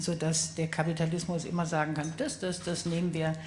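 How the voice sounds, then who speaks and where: This woman's voice sits at a fairly low pitch. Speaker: author and politician panelist. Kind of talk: panel discussion. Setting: stage with audience. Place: stage. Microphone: handheld.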